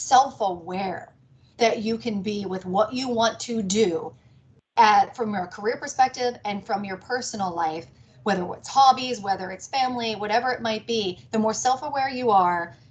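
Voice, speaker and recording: A somewhat breathy voice with an American accent and ordinary pitch variation. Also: woman. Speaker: business executive. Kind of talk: talk to a networking group. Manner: fast.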